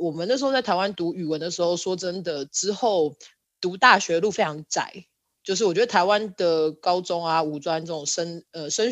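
A woman's fairly low voice, a plain, everyday voice, with ordinary pitch variation, a moderate pace and a quiet background. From Taiwan, Kaohsiung. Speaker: architect. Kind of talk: casual interview chat.

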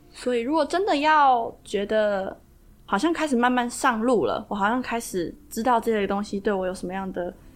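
A woman with an ordinary speaking voice talks at a fairly high pitch and moderate pace, with ordinary pitch variation. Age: 20s. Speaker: kundalini yoga teacher. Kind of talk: interview.

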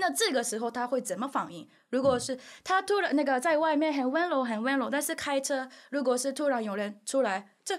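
A woman with a Japanese accent talks at a fairly quick pace in a high pitch with lively intonation. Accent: Japanese accent in Mandarin. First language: Japanese (speaking Chinese). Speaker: YouTuber. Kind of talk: casual chat. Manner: halting.

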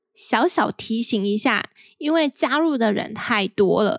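On a very clean recording with a silent background, a woman with a Taiwanese accent speaks at a very slow pace in a fairly high voice with lively intonation. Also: dry, close sound with no echo. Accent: Taiwanese Mandarin. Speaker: podcast host. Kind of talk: solo podcast monologue.

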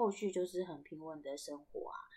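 This is a woman's voice at a medium pitch. Her pitch varies in an ordinary way. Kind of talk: casual storytelling monologue.

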